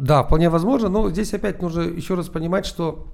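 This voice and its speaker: With an ordinary speaking voice, a man talks at a moderate pace in a fairly high pitch. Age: 40s. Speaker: entrepreneur, founder of an ad automation service. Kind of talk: interview.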